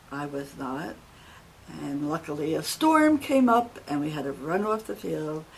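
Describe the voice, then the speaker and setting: Speaking fairly slowly with a New Jersey accent, a woman has a very deep, low pitch. Her intonation is lively. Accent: New Jersey American. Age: 80s+. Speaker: retired secretary telling life story. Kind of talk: life story testimony. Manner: formal, measured.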